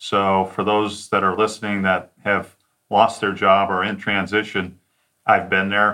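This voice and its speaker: With an American accent, a man speaks at a fairly slow pace in a flat, monotone delivery. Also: fairly low pitch for a man. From Detroit suburbs, Michigan. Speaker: sales consultant. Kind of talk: interview.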